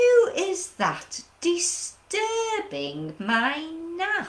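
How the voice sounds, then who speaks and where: A woman's squeaky, put-on character voice, extremely high in pitch, at a very slow pace. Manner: annoyed, disturbed, sleepy.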